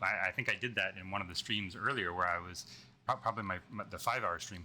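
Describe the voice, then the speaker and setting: The voice has a bright, sharp tone and moves at a fairly quick pace. The recording is very clean, with a silent background. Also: man. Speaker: programming live streamer. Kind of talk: live coding stream talk. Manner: halting, many repeated words.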